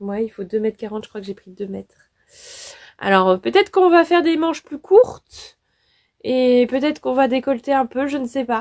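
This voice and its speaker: A woman with a high voice swings her pitch very widely, recorded very cleanly against a silent background with a dry, close sound and no echo. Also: fairly quick pace. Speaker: sewing youtuber. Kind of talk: casual vlog talk. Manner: hesitant, many fillers.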